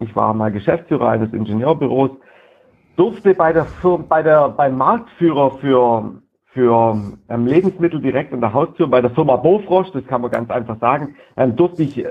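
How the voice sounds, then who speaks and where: Lively intonation at a moderate pace, neither rushed nor slow. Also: man. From southern Germany, Lake Constance. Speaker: sales trainer. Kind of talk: casual interview.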